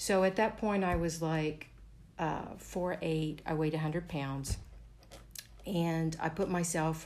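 A woman speaks very slowly with long, frequent pauses and a fairly low pitch. Her loudness is very even and her intonation fairly even. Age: 50s. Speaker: resort guest. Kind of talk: interview.

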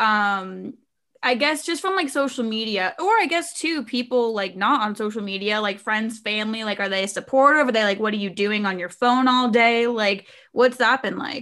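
The speaker has a normal speaking voice and moves at a moderate pace. Pitch variation is ordinary. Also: woman, fairly high pitch for a woman. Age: 20s. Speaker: podcast host. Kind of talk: casual chat.

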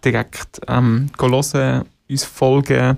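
With a normal speaking voice, a man talks at a medium pitch and holds a fairly even intonation. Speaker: musician. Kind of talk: casual interview.

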